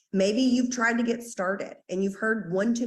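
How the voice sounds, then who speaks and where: With a Southern US accent, a woman speaks at a fairly high pitch with lively intonation against a quiet background. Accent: Southern US drawl. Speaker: network marketing team leader. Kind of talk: team training call. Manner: fast; animated.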